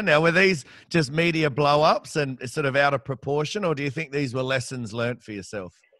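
With an Australian accent, a man talks at a fairly quick pace in a bright, sharp tone, with ordinary pitch variation, a dry sound with no echo and a quiet background. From Australia, Campbelltown (Western Sydney); New South Wales, Australia. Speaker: podcast host. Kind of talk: interview. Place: home room. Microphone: studio mic.

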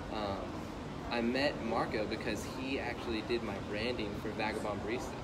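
A man keeps a moderate pace while loud background noise plays behind him. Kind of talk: interview answer. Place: cafe. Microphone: phone near.

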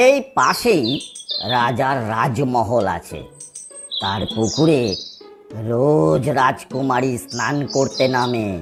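A cartoonish character voice at a very slow pace, low-to-middle in pitch, with clear music in the background. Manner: sly, knowing.

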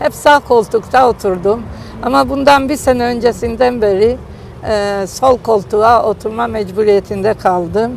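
Noticeable background noise runs under a woman's voice. She speaks at a fairly high pitch and fairly slow pace, with ordinary pitch variation. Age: 70s. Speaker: grandmother learning to drive. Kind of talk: interview answer.

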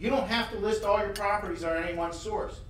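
A man with a high-pitched voice speaks in a room with audible echo and light background noise. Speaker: conference presenter. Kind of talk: conference talk. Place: hall.

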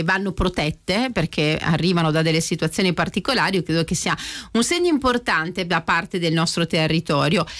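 Against a quiet background, a woman uses an unremarkable speaking voice with medium pitch and ordinary pitch variation. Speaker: radio host. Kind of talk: casual chat. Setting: studio. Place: studio. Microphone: studio mic.

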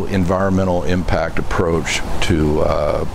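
The man's voice has a very deep, low pitch and monotone, flat intonation. Noticeable background noise is present. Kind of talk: interview answer. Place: open country.

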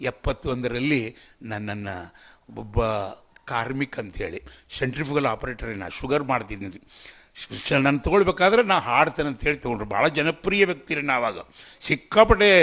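A man speaks at medium pitch in a bright, sharp tone. His pitch swings very widely and his loudness shifts in big swings. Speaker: folk singer. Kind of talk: interview storytelling.

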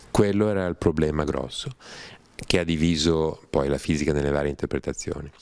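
Over a quiet background, a man with a very deep, low pitch speaks at a fairly quick pace, the sound dry with no echo. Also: ordinary pitch variation. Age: 60s. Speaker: writer and scholar of religions; interviewee. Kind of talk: interview talk. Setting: studio without audience. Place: home room. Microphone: handheld.

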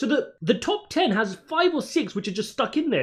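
With very wide pitch swings, a man delivers his words at a moderate pace over a quiet background. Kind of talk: commentary. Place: home room.

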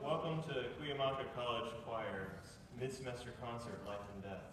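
Over noticeable background noise and strong room echo, a man talks at a moderate pace. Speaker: choir director hosting a concert. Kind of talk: concert host announcement. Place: stage. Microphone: camera far.

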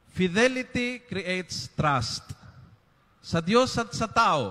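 The speech is very slow, with a bright, sharp tone. Pitch swings very widely against a quiet background. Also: man. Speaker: priest. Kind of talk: homily. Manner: emphatic, punchy and conversational; Taglish, direct and moralizing. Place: church. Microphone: handheld.

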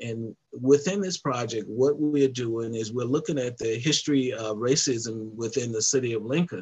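A somewhat breathy man at a fairly slow pace, with ordinary pitch variation. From US South. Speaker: civil rights organization president. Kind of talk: interview. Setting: video call. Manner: halting. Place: home room. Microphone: headset.

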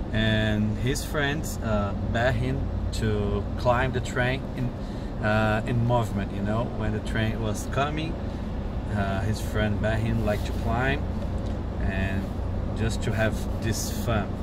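Through loud background noise, a man speaks very slowly with long, frequent pauses, the sound dry with no echo. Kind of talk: interview answer, translating a story. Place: car. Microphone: camera far.

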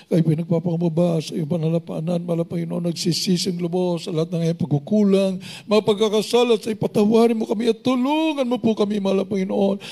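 Very fast speech comes from a man with a high voice. His pitch varies in an ordinary way over a quiet background. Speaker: prayer leader; pastor leading prayer. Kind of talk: fervent deliverance prayer; prayer. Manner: loud, shouting, repeating commands like 'cast out' with rising intensity. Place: church. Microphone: handheld.

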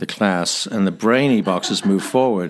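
Speaking at a fairly quick pace, a man with a Northern Irish accent has a fairly low pitch and ordinary pitch variation. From Northern Ireland. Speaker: missionary, former corporate jet pilot. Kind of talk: podcast interview answer, storytelling.

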